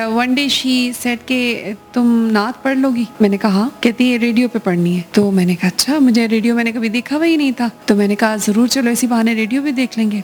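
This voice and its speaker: The speaker's pitch varies in an ordinary way. Noticeable background noise runs under the voice. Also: woman, fairly high pitch for a woman. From Pakistan. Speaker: voice over artist. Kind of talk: interview answer.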